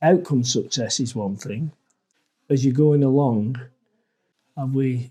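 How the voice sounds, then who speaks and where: Before a quiet background, a man with a dark, mellow tone speaks at a medium pitch, using ordinary pitch variation and long, frequent pauses. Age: 60s. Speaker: entrepreneur. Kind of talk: interview. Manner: halting.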